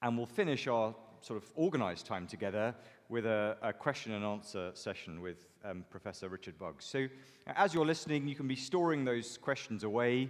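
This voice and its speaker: A man's medium-pitched voice at a fairly quick pace, with lively intonation. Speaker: church minister. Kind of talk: event introduction. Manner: loud; halting.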